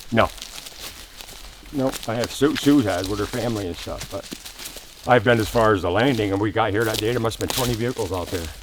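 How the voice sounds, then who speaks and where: A man talks very fast with ordinary pitch variation, yet leaves long, frequent pauses. Noticeable background noise runs underneath. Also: medium pitch for a man. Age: 70s. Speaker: veteran bigfoot researcher. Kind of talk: casual chat. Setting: outdoors in a forest.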